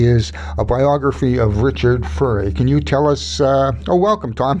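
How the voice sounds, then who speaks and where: With a Canadian accent, a man speaks at a medium pitch with very wide pitch swings over noticeable background noise. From Winnipeg, Canada. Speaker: radio host. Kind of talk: interview.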